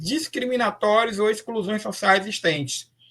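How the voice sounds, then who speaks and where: A raised, projected man's voice, high in pitch with a bright, sharp tone, ordinary pitch variation and a moderate pace. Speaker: professor, lecturer on AI and special education. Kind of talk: online lecture. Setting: live online talk. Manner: hesitant, with fillers.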